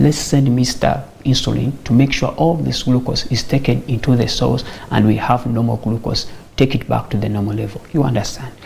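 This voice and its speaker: Noticeable background noise sits behind a man who talks at a moderate pace with fairly even intonation. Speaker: medical doctor. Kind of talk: health talk show interview explaining diabetes.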